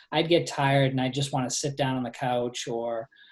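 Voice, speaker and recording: In a Boston accent, a man speaks with fairly even intonation. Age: 40s. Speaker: fitness coach. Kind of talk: presentation on a group call. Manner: hesitant, many fillers.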